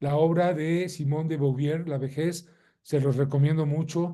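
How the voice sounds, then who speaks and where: A man speaks at a fairly slow pace with fairly even intonation. His voice is fairly high-pitched, somewhat breathy and dark, mellow in tone. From Mexico. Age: 60s. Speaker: lawyer and lecturer. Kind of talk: lecture.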